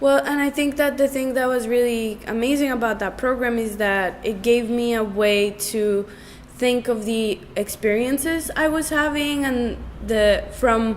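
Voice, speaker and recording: A woman with an American accent speaks at a fairly slow pace and a fairly high pitch. Her pitch variation is ordinary, and there is noticeable background noise. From Bogota, Colombia, then New Jersey. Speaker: artist. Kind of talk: interview. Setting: studio. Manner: loud.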